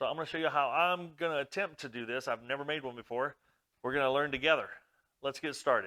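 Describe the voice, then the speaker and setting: Loud and very fast, a man with a fairly high pitch and a bright, sharp tone speaks with ordinary pitch variation on a very clean recording with a silent background. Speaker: woodworking hobbyist YouTuber. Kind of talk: tutorial. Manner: casual, conversational.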